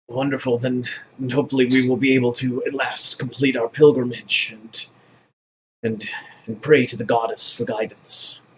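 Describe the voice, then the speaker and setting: Using a put-on character voice, a man at medium pitch goes at a moderate pace with long, frequent pauses. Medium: actual play. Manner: formal, earnest.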